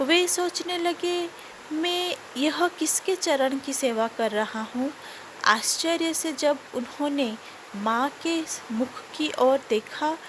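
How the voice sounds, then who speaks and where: Noticeable background noise surrounds a woman with a high voice and a non-native accent. Her intonation is lively. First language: not Hindi (speaking Hindi). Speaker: devotional storyteller. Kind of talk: devotional storytelling.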